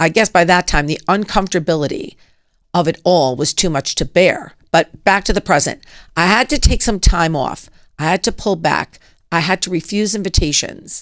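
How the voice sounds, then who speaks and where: A woman speaks at a moderate pace with an unremarkable speaking voice, her pitch fairly low and its variation ordinary. The sound is dry and close with no echo, in a very clean recording over a silent background. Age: 60s. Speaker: podcast host. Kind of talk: personal monologue.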